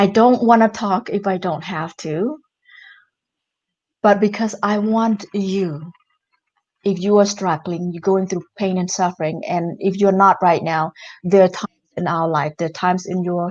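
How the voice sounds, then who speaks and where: A woman with a non-native accent, medium-pitched, at a moderate pace with fairly even intonation and long, frequent pauses. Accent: non-native English speaker, limited English. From Cambodia. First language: Khmer. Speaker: entrepreneur and author. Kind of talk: interview.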